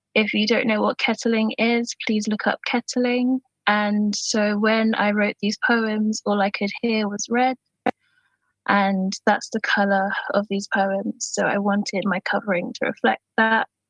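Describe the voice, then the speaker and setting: A woman's fairly high, somewhat breathy voice at a fairly slow pace, in a monotone, flat intonation. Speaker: poet. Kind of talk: personal introduction; poetry reading. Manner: shaky voice.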